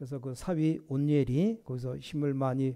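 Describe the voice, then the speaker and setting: A man speaks at a moderate pace. His voice is fairly high in pitch with a dark, mellow tone. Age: 60s. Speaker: pastor. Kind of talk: sermon.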